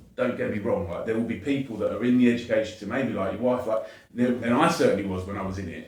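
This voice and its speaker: A man with a southern English accent and medium pitch talks at a very fast pace, with audible room echo. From southern England, Watford. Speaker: educator and charity founder. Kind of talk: podcast interview.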